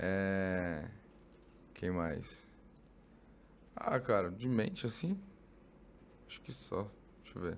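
A man with a fairly low voice, a very slow pace, long and frequent pauses, ordinary pitch variation and audible room echo. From São Paulo, East Zone. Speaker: nurse and fitness trainer. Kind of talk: casual chat.

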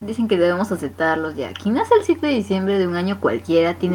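The reading voice sounds natural, and the intonation moves in a lively way.

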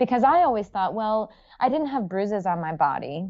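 Speaking at a moderate pace with an American accent, a woman uses lively intonation. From US Northeast, Rhode Island. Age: 30s. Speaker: gut health coach and podcast host. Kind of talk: interview, personal storytelling. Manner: animated, frequent laughter.

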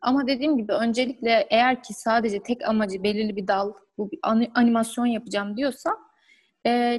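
A woman with an unremarkable speaking voice, fairly high-pitched, at a fairly quick pace with ordinary pitch variation. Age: 20s. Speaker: graphic designer. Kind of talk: interview.

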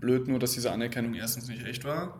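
A man with a medium-pitched voice talks at a moderate pace, and there is audible echo in the room. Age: 20s. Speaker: podcast host, psychology student. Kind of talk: solo unscripted monologue. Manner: casual, conversational.

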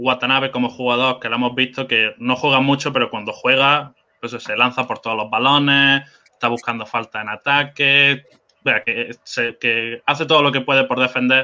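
A man with a Spanish accent talks in a monotone, flat intonation. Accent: Spanish (Spain). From Spain. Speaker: basketball fan guest. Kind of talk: casual sports chat.

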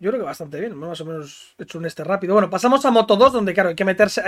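This is a man's voice. His pitch sits high. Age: 20s. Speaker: podcast host. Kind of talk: casual chat.

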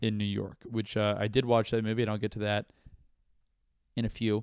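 The sound is dry and close, with no echo. A man speaks with an American accent at a fairly low pitch. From Florida (Brandon, Tampa area). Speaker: comedian and podcast host. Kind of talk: casual solo monologue. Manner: halting, many fillers and repetitions.

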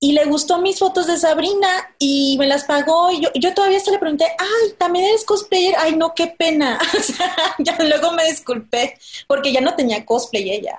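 With lively intonation and very even loudness, a woman speaks at an extremely high pitch. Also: moderate pace. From Tabasco, Mexico. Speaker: illustrator and cosplayer. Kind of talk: interview.

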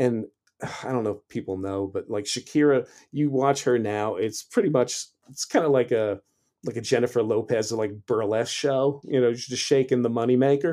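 In an American accent, a man at medium pitch talks at a moderate pace with a dark, mellow tone, ordinary pitch variation and big swings in loudness. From US Northeast, Long Island New York. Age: 50s. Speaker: radio host. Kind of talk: casual interview chat.

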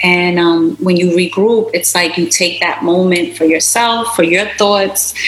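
A woman with a New York accent at medium pitch, fairly slow and with hardly any pauses, very even in loudness, with ordinary pitch variation, noticeable background noise and audible room echo. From US, Brooklyn, New York (Puerto Rican descent). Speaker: beauty business owner. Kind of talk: interview.

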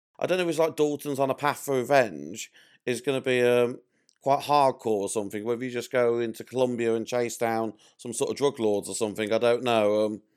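Recorded very cleanly against a silent background, a man talks at a fairly quick pace with a medium pitch and ordinary pitch variation. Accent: English. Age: 40s. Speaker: film fan. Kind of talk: podcast interview.

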